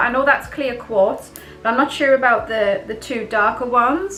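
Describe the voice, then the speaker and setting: With noticeable background noise, a woman with a high pitch uses a raised, projected voice at a moderate pace. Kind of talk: casual talk to camera; ASMR crafts show-and-tell. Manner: chatty, hesitant, casual.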